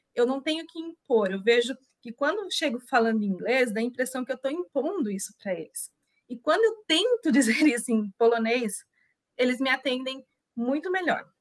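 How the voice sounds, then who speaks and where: A woman talks in a high pitch with lively intonation. The sound is dry and close, with no echo. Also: moderate pace. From interior of São Paulo state, Brazil (Itu). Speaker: Brazilian expat living in Poland. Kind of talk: casual interview chat.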